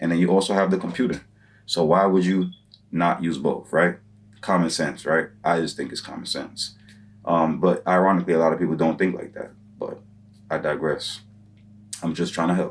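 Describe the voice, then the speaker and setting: This man talks at a fairly quick pace but leaves long, frequent pauses. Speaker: online business YouTuber. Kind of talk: advice tutorial monologue. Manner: fast; casual, many filler words.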